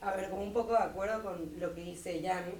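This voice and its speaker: Amid noticeable background noise and audible room echo, a woman speaks at a fairly low pitch with monotone, flat intonation. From Bolivia, Santa Cruz. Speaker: university student, debater. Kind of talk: debate.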